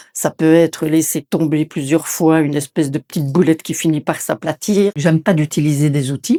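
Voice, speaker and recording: With a very deep, low pitch and a dark, mellow tone, a woman speaks at a moderate pace with fairly even intonation. The recording is very clean with a silent background, and the sound is dry and close with no echo. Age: 60s. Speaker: ceramic artist. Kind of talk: interview. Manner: halting, with repetitions and hesitations.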